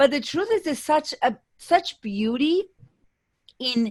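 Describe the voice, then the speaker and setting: Very slowly, a woman speaks with lively intonation in an Argentine accent. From Argentina, Buenos Aires. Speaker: business coach. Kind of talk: interview.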